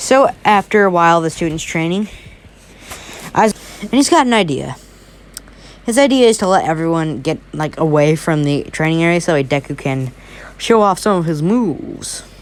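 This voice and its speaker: Her pitch is fairly low, and the woman's intonation is lively at a moderate pace. Long, frequent pauses break her speech over noticeable background noise. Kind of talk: casual fan-fiction storytelling.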